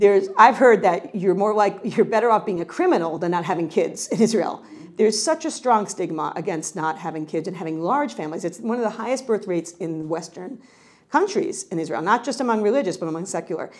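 A woman with an American accent and an ordinary speaking voice, at a medium pitch with lively intonation and a fairly quick pace. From New York. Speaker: professor. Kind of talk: lecture.

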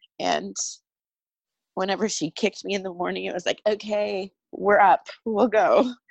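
Against a quiet background, a woman talks at a moderate pace with long, frequent pauses. The audio is dry and close, with no echo. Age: 30s. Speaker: bereaved mother sharing her story. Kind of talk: testimony. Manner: hesitant, many fillers.

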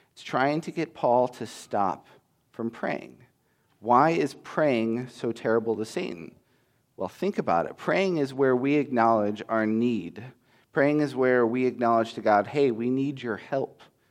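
In a normal speaking voice, a man talks at medium pitch and a fairly slow pace with ordinary pitch variation against a quiet background. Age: 30s. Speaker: pastoral intern preaching. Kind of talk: sermon. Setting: church.

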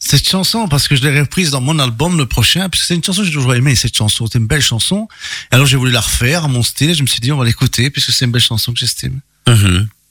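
Bright and sharp in tone, a man talks very fast at medium pitch with lively intonation. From Belgium, Charleroi, Italian family. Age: 50s. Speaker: singer. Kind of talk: interview.

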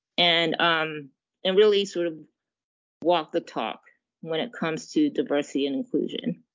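Speaking at a moderate pace with an American accent, a woman uses a fairly low pitch and lively intonation, leaving long, frequent pauses. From England, Zimbabwe, New York and Japan. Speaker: general counsel. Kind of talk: interview.

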